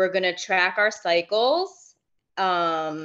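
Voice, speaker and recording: Against a quiet background, a woman talks in a fairly low pitch with ordinary pitch variation. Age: 30s. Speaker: mentorship client. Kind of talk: casual chat.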